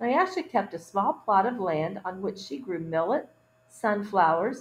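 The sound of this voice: What we hear is an unforced reading voice.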